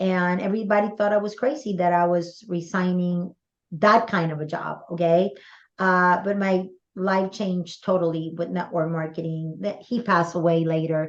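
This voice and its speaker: A woman with a Spanish accent, fairly low in pitch, with fairly even intonation at a moderate pace, over a quiet background. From Puerto Rico. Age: 60s. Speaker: direct sales mentor. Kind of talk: interview.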